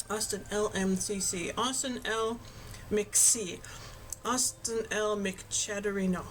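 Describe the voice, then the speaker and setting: With noticeable background noise behind her, a woman talks at a very slow pace in a medium pitch with fairly even intonation. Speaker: video game streamer. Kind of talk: casual livestream chat with viewers. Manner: casual, chatty.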